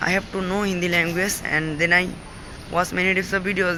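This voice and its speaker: A man in a Bengali accent, high-pitched and monotone at a moderate pace, amid noticeable background noise. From Bangladesh, village. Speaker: English learner vlogger. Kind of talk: casual vlog. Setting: outdoors. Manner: halting.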